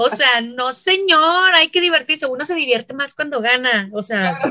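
A woman's high voice is raised and projected, bright and sharp in tone, with lively intonation and an animated tone. She goes at a fairly slow pace, and the sound is dry and close with no echo. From Mexico, Chihuahua. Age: 30s. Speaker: basketball referee and instructor. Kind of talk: interview conversation. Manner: loud, forceful.

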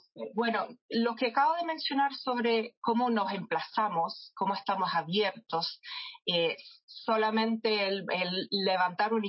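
A woman's somewhat breathy voice, fairly high in pitch, at a fairly slow pace. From England, London. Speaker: marketing director. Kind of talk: interview.

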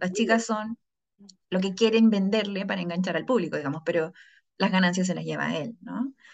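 A woman's lively intonation in a Chilean accent. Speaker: podcast host and psychologist. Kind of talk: casual chat.

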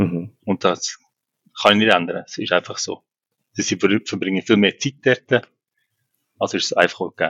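This man speaks at a moderate pace. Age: 40s. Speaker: co-parenting father. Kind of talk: casual interview.

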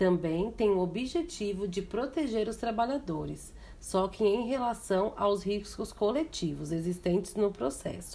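Speaking fairly slowly with hardly any pauses, a woman uses a dark, mellow tone, lively intonation and vocal fry at a medium pitch. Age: 30s. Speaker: vocational student. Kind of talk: educational presentation. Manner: formal.

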